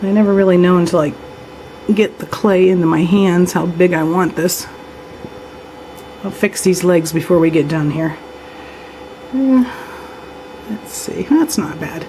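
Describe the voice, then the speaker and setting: Amid noticeable background noise, the speech moves at a fairly slow pace with long, frequent pauses. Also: woman, fairly low pitch for a woman, ordinary pitch variation. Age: 60s. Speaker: polymer clay crafter. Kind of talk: tutorial. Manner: casual, conversational.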